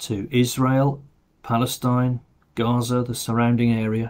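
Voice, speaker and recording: The delivery is monotone, with flat intonation. It moves at a fairly slow pace. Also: man. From England. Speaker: parish priest leading online morning prayer. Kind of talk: fervent intercessory prayer, spoken aloud to God. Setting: recorded video service. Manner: earnest, pleading, heartfelt; slow, halting with fillers. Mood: quiet, reverent. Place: home room. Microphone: webcam.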